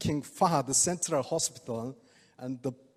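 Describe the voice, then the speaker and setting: Speaking with a Korean accent, a man uses a fairly high pitch. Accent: non-native English, Korean. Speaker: oriental medicine doctor giving product talk. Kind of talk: product presentation to audience. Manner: halting.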